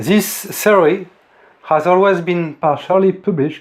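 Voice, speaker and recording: With a French accent, a man talks at a fairly slow pace, his voice pitched high and his pitch varying in an ordinary way. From France. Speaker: independent physics theorist. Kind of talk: lecture. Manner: formal.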